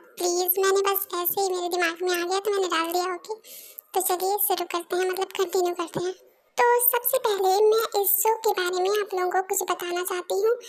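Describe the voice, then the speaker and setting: Speaking at a fairly quick pace, a woman uses fairly even intonation at an extremely high pitch. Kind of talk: casual fan dub narration. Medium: fan dub. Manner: chatty, informal.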